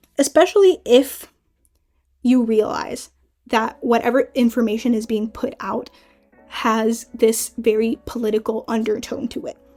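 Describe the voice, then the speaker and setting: Music plays in the background as a woman with a fairly high pitch speaks at a fairly slow pace with ordinary pitch variation. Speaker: YouTube commentary creator. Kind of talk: casual commentary to camera.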